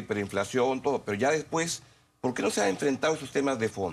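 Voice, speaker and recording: The speech races along at a very fast pace with lively intonation and vocal fry. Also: man. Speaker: TV interviewer. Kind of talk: TV interview.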